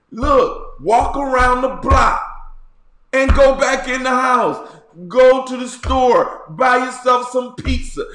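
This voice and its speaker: A man's extremely high-pitched, very slow voice with ordinary pitch variation and audible room echo. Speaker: bishop, online encouragement video host. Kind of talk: casual video monologue with news commentary. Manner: animated.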